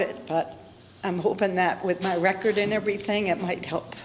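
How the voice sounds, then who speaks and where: A woman with an American accent talks at a moderate pace with fairly even intonation. Audible room echo and noticeable background noise surround her. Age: 70s. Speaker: defendant in traffic court. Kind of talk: courtroom testimony. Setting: courtroom. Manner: halting.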